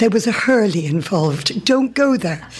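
Speaking at a fairly slow pace, a woman with a medium pitch and a somewhat breathy voice makes very wide pitch swings. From England, then rural Ireland from 13. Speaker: amateur writer. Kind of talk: reading aloud.

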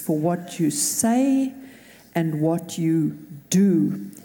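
Her dark, mellow tone comes out somewhat breathy as the woman talks. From South Africa. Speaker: pastor. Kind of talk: prayer. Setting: church.

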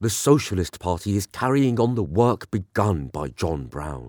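A solemn man with a British accent, fairly low in pitch, fairly slow, with lively intonation, on a very clean recording with a silent background and a dry, close sound with no echo. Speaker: voice artist and narrator. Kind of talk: dramatic reading of a historical eulogy. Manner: solemn, reverent, elegiac delivery; rising oratorical fervor toward the close.

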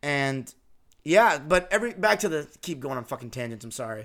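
A man talking at a fairly quick pace in a very clean recording with a silent background. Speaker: basketball podcast host. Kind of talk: solo casual commentary. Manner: animated.

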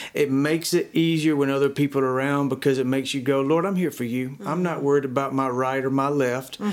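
A man with a Southern US accent and a fairly high pitch rattles along at a very fast pace with hardly any pauses and fairly even intonation. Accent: Southern US (Georgia). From US South, rural Georgia. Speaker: worship pastor. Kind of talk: interview.

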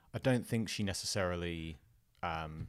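A man speaks with an English accent and a very deep, low pitch. His pitch varies in an ordinary way, and the recording is very clean with a silent background. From southern England, Fareham. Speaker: entrepreneur, former punk musician. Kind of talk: interview, casual chat. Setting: in person, studio.

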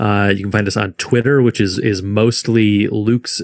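A man with an American accent and an ordinary speaking voice talks at a fairly low pitch and moderate pace, recorded dry and close with no echo on a very clean recording with a silent background. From Michigan. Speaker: podcast co-host, sports fan. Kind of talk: casual interview.

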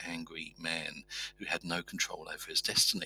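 A man is speaking. Music plays in the background. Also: dry, close sound with no echo. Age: 50s. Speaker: rural doctor. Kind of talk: interview.

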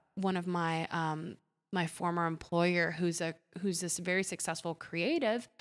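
A woman's plain, everyday voice, fairly low-pitched and fairly slow, with fairly even intonation on a very clean recording with a silent background. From Puerto Rico, then Ohio from age eight. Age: 30s. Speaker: photographer and aura reader. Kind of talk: casual interview chat; aura reading.

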